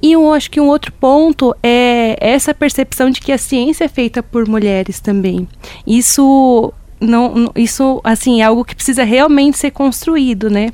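A woman with a high pitch speaks fairly slowly, her pitch varying in an ordinary way. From Rio Grande da Serra, Greater São Paulo. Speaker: PhD student and researcher. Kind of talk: panel discussion.

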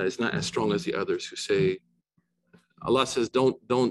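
At a moderate pace, a man talks at medium pitch with ordinary pitch variation, in a dry, close sound with no echo. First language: not Arabic. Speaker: imam and religious teacher. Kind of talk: lecture.

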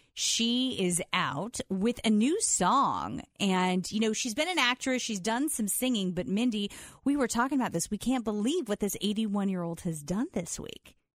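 A woman speaks in an ordinary speaking voice at a fairly high pitch with lively intonation. Her pace is fairly slow with hardly any pauses, in a very clean recording with a silent background. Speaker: radio host. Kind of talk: casual radio chat.

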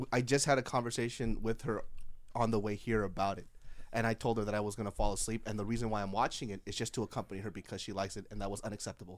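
A man's animated, very fast speech at a fairly low pitch, on a very clean recording with a silent background. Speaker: comedian. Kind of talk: casual chat. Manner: animated, laughs often.

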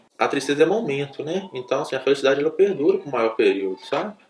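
This man speaks with a Minas Gerais accent. His pace is very fast. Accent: Brazilian Portuguese, mineiro. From Minas Gerais, Brazil (interior). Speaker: doctor. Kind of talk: casual storytelling talk. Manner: animated.

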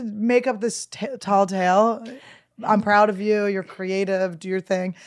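Fairly slow and fairly high-pitched, this woman has an unremarkable speaking voice. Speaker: comedian and podcast co-host. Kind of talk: casual chat.

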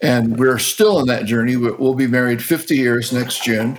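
A man talks in an ordinary speaking voice at a medium pitch. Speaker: podcast co-host. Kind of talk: casual chat.

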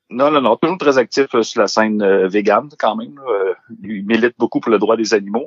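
The speaker has a Saguenay accent, talking at a moderate pace with ordinary pitch variation. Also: man, medium pitch for a man. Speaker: music and alcohol columnist. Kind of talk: casual chat.

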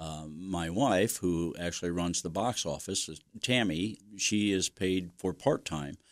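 A man with an American accent speaks at a fairly slow pace, his voice very deep and low with ordinary pitch variation. He hardly pauses, and the recording is very clean with a silent background. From US Midwest, Mansfield, Ohio. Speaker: community theatre director. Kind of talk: interview. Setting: studio.

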